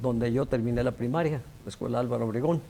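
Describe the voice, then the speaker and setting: A man at medium pitch speaks with vocal fry and ordinary pitch variation. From Mexico, Quintana Roo (Cozumel, Chetumal). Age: 70s. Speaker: engineer and science official. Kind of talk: TV interview.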